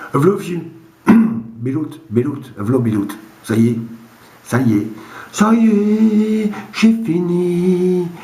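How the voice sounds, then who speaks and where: Noticeable background noise surrounds a man with a northern French accent and a high voice that swings very widely. He speaks at a very slow pace with long, frequent pauses. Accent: northern French (Ch'ti) dialect. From Boulogne-sur-Mer, northern France. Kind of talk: casual joke telling to camera. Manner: rambling, hesitant.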